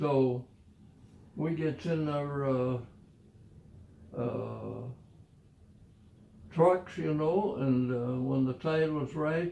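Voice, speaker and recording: Very slow and full of long, frequent pauses, a man with an American accent speaks at a fairly high pitch. His tone is dark and mellow, with ordinary pitch variation. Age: 80s+. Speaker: war veteran. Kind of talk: casual storytelling.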